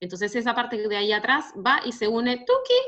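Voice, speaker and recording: A woman with a normal speaking voice talks at a moderate pace, pitched fairly high. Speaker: university physiopathology teacher. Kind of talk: online class Q&A lecture. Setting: online video class.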